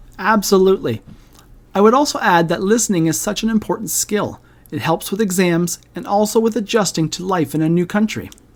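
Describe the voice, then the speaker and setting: A woman with an unremarkable speaking voice and a Canadian accent talks at a fairly quick pace, with medium pitch and ordinary pitch variation. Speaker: podcast co-host. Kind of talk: casual educational podcast chat.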